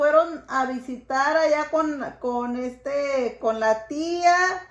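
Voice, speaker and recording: A woman speaks with a high-pitched voice. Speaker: vlogger. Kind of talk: casual talk to camera and family conversation.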